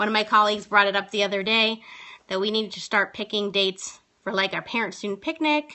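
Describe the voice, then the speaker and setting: An ordinary speaking voice from a woman, fairly high in pitch, at a fairly quick pace. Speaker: teacher and live streamer. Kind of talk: casual live stream tips talk. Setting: phone live stream.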